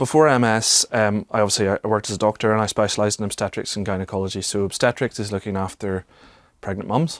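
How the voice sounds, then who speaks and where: Very fast speech from a man with a fairly low pitch and a Northern Irish accent, dry and close with no echo. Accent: Northern Irish (Belfast). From Northern Ireland, Belfast. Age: 30s. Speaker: former doctor living with MS. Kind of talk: personal testimony interview.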